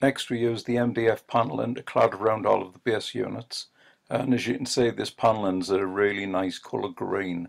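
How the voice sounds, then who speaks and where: A man speaks with a Northeast English accent in a fairly low pitch. His pace is fairly quick, with ordinary pitch variation. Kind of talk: casual voice-over narration.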